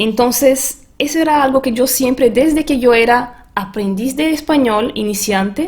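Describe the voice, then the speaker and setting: A woman's high-pitched voice at a fairly slow pace, with hardly any pauses. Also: ordinary pitch variation. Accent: Portuguese. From Brazil. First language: Portuguese (speaking Spanish). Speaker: transformation coach and language teacher. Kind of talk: webinar presentation.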